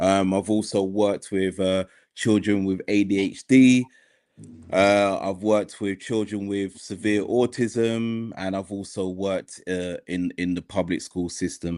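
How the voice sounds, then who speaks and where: Monotone and flat, a man with a British accent speaks at a fairly slow pace and a fairly low pitch. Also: quiet background. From United Kingdom. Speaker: mental health worker. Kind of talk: podcast discussion.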